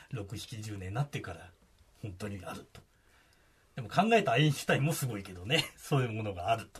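With lively intonation and a fairly quick pace, a man's voice sounds somewhat breathy. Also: medium pitch for a man. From Kagoshima, Japan. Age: 50s. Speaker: radio reporter. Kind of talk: casual explanatory chat on radio.

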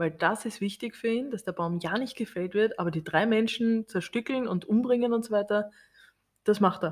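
A woman with a somewhat breathy, fairly high voice talks at a moderate pace with ordinary pitch variation, recorded very cleanly against a silent background. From Austria. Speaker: podcast co-host. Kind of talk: casual chat.

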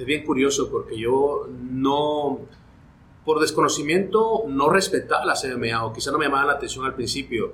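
A man with a fairly high pitch and ordinary pitch variation talks at a moderate speed amid noticeable background noise. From Guatemala. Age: 40s. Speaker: sports broadcaster. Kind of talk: casual interview.

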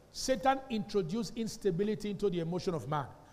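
Over noticeable background noise, a man talks in an animated tone at a fairly quick pace. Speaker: pastor. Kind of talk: Sunday sermon delivered to a live congregation, heavy call-and-response. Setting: church with live congregation. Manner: animated, drilling the congregation with fill-in-the-blank questions; repeatedly demands responses, emphatic and exhortative.

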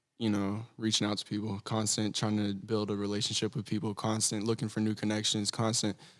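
A man with an American accent speaks at a moderate pace in an unremarkable speaking voice, medium in pitch, on a very clean recording with a silent background. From Texas. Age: young. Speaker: rapper. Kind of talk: casual chat.

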